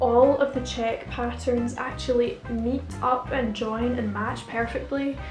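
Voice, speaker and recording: With music in the background, a woman with a Scottish accent speaks at a fairly slow pace. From Scotland. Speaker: fashion student. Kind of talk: casual talk to camera. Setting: home recording, camera mic.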